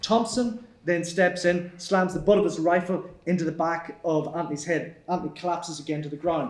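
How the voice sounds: Audible room echo surrounds a man speaking at a moderate pace with a fairly high pitch and fairly even intonation.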